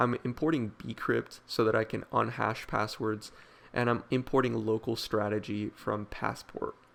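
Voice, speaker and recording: There is vocal fry in this man's voice. He talks at a fairly slow pace with fairly even intonation. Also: medium pitch for a man. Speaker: programming tutorial maker. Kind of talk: tutorial. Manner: casual with filler words.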